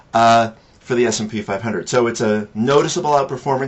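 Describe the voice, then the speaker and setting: With an ordinary speaking voice, a man talks at a fairly quick pace and ordinary pitch variation. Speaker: financial advisor and blogger. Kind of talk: weekly market commentary monologue. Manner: casual with frequent fillers.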